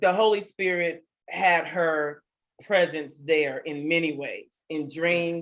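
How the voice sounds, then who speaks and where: A woman's normal speaking voice, fairly low in pitch, with fairly even intonation. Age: 40s. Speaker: talk show host. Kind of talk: casual chat.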